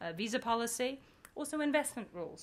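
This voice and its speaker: A woman speaks with a British accent. Her pace is fairly quick. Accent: British accent noticeable. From UK, England. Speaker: business school professor. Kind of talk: conference talk.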